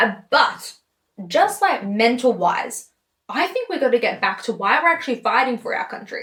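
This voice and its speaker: Animated in tone, a woman with an Australian accent speaks at a fairly quick pace and a high pitch. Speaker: political commentator. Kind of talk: political rant.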